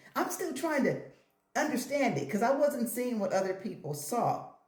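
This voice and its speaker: Audible room echo surrounds a voice that moves at a moderate pace with very wide pitch swings. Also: woman. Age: 50s. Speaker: hair and lifestyle vlogger. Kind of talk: casual vlog talk to camera. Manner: animated.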